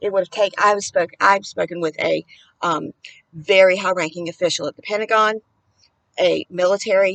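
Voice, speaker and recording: A woman at a moderate pace with fairly even intonation, in a dry, close sound with no echo. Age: 50s. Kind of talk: political commentary to camera. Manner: agitated, impassioned.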